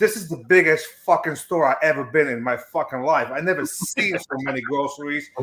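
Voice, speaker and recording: Fairly high in pitch, a man talks at a fairly quick pace with hardly any pauses and ordinary pitch variation. He has a non-native accent. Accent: foreign accent, others make fun of it. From abroad, non-English-speaking country. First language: not English. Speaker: stream guest. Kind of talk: casual chat.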